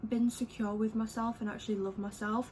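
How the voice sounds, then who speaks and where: A woman with an English accent. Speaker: beauty vlogger. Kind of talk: casual chat. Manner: chatty, filler-heavy.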